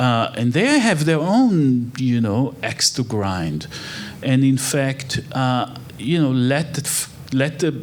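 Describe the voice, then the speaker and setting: A man speaks very slowly at a medium pitch with an Israeli accent and ordinary pitch variation. Noticeable background noise and audible room echo fill the recording. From Israel (Haifa). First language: Hebrew. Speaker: architect and human rights researcher. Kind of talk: on-stage interview.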